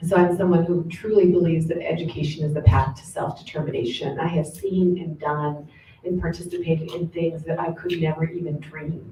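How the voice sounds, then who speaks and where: Over noticeable background noise, a woman with an American accent speaks at a fairly quick pace with hardly any pauses, using a fairly low pitch, fairly even intonation and big swings in loudness. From Southern California. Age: 50s. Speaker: professor. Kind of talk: panel talk.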